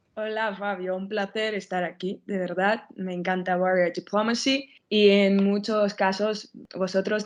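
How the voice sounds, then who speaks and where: At a fairly slow pace, a woman with a medium pitch and fairly even intonation speaks in a normal speaking voice. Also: quiet background. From Armenia. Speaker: political scientist and journalist. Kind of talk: casual podcast interview.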